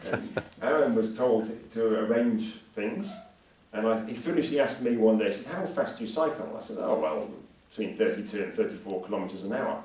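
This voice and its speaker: There is noticeable background noise and audible room echo. A man at medium pitch talks at a fairly quick pace. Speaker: climate scientist, professor giving a public talk. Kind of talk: lecture. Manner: speeds up when speaking; hesitant fillers.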